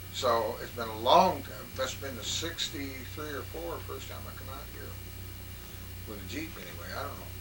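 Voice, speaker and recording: At a moderate pace, a man with a very deep, low pitch speaks with lively intonation and big swings in loudness, amid noticeable background noise and audible room echo. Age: 40s. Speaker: interviewer. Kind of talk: casual chat.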